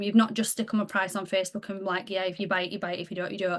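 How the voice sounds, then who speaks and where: A woman speaks with fairly even intonation. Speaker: direct-sales team leader. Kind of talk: team training call. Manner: fast.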